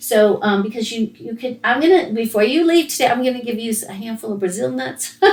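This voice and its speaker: Over noticeable background noise, a woman with a fairly high voice speaks in an animated tone with lively intonation, big swings in loudness, a fairly quick pace and hardly any pauses. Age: 60s. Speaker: podcast host, former pharmacist. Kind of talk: casual interview chat.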